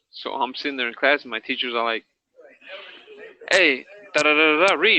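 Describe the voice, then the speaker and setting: A man with a fairly high pitch talks at a fairly quick pace. His loudness swings widely, while his pitch varies in an ordinary way. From US, Mexican-American (childhood partly in Mexico). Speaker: former inmate telling life story. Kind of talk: podcast interview, personal testimony. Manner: casual, halting with repetitions.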